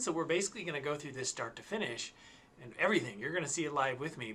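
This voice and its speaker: Talking at a very fast pace, a man makes very wide pitch swings. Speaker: instructor. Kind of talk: tutorial. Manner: halting, with many fillers. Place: home room.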